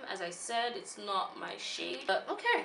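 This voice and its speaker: Noticeable background noise and audible room echo surround the recording. A woman speaks with very wide pitch swings. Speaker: beauty vlogger. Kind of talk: product review vlog. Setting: at a bridal shower.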